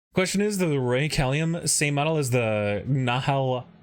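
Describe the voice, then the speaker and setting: A man's fairly high, fairly slow speech on a very clean recording with a silent background. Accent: Michigan. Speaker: streamer building model kits. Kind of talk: casual live stream chat while building. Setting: live stream.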